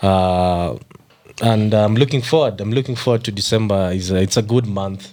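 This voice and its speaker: This man has a fairly low voice with ordinary pitch variation and speaks at a moderate pace. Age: 30s. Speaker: podcast co-host. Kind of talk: casual chat.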